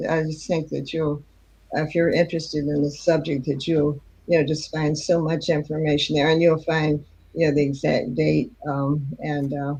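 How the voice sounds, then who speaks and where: The woman's voice is very deep and low, somewhat breathy, with fairly even intonation. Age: 90s. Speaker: author and historian. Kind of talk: interview. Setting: live online show.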